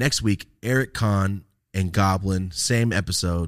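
A man with a fairly low pitch and ordinary pitch variation talks at a very slow pace on a very clean recording with a silent background. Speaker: podcast host and cannabis content creator. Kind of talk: casual chat. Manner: mumbles, words run together.

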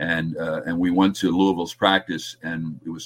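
The speaker has a New Jersey accent and talks at a moderate pace. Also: man. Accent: New Jersey American. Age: 70s. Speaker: sports broadcaster. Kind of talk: casual interview.

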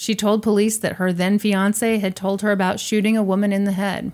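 A woman with a normal speaking voice talks at medium pitch and a moderate pace. Her intonation is fairly even. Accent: American. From US Midwest, Missouri. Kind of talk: casual storytelling chat.

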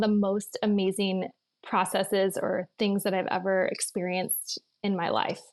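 A woman with an ordinary speaking voice, a medium pitch and a moderate pace. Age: 40s. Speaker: nutritional therapist. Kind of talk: interview.

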